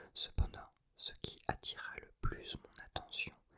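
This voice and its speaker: Whispering in a calm tone, the speaker goes at a very slow pace. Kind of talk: whispered ASMR book reading for sleep. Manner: whispered, soft, calm.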